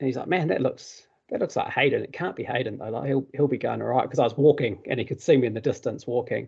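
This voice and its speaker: With a New Zealand accent, a man talks at a very fast pace with hardly any pauses. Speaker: podcast host, father. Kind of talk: casual interview.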